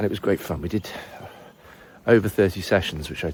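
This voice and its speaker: Somewhat breathy, a man's voice keeps fairly even intonation. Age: 40s. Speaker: language teacher. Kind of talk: casual vlog monologue.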